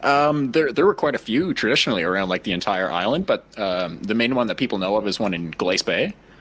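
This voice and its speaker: Speaking fairly quickly, a man with a slight Cape Breton accent uses lively intonation at a fairly low pitch. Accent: slight Cape Breton twang. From Cape Breton, Nova Scotia. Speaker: podcast host. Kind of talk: casual chat.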